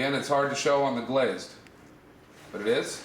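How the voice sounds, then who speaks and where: The man's voice sits fairly high. There is audible room echo and noticeable background noise. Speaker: exotic leather seller. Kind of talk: product demonstration. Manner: fast; casual.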